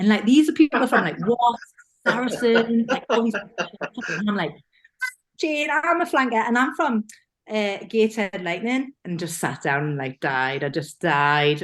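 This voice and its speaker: A woman with a Geordie accent speaks at a fairly slow pace in a fairly high pitch, her voice showing vocal fry and very wide pitch swings. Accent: broad Geordie. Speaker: rugby player. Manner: animated storyteller, self-deprecating.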